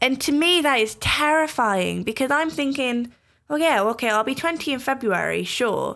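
A woman speaks with a Welsh accent and lively intonation. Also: very clean recording, silent background. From Wales. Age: young. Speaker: podcast host. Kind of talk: casual chat.

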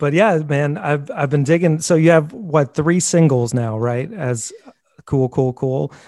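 A man talks at a fairly slow pace in a dark, mellow tone. His pitch sits fairly high. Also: ordinary pitch variation. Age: 40s. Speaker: podcast host. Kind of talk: casual interview chat.

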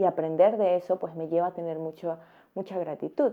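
Here a woman has an unremarkable speaking voice, fairly low in pitch. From Central America, neighbor of Costa Rica. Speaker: travel vlogger. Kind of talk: personal reflection monologue. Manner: calm, reflective.

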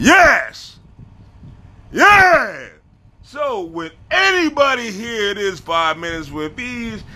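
A man talks in an animated tone. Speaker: social media creator. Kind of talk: casual vlog monologue. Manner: loud.

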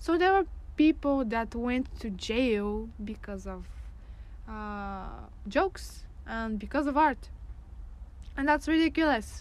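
In a Bulgarian accent, the speaker goes at a very slow pace with long, frequent pauses and big swings in loudness. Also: woman. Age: 20s. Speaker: graphic design student. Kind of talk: casual chat. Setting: outdoors.

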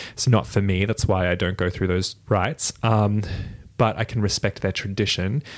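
In a very clean recording with a silent background, a man with an American accent talks at a moderate pace, his fairly low pitch showing ordinary variation. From Toowoomba, Queensland, Australia. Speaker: witch / practitioner of witchcraft. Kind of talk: casual chat, conversational interview. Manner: laughs often, giggly.

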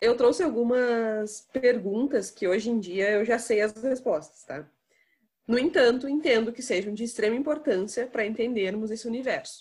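A woman speaks in an ordinary speaking voice at a moderate pace. Her pitch is fairly high, with ordinary pitch variation. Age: 20s. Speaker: podcast host. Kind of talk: casual chat.

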